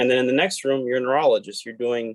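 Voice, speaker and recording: The sound is dry and close, with no echo. A man speaks at a medium pitch with a Spanish accent. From Puerto Rico. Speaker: podiatric medical student. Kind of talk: panel discussion.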